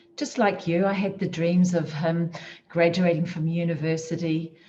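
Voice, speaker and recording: In a New Zealand accent, a woman speaks at a moderate pace with a medium pitch, a somewhat breathy quality and a dark, mellow tone. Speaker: motivational speaker. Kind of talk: motivational talk. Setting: virtual conference session.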